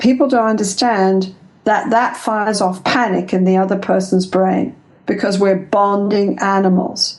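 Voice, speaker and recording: A woman with an English accent speaks at a medium pitch and a fairly slow pace. Her loudness is very even and her intonation fairly even. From England. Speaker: couples therapist and researcher. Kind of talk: interview.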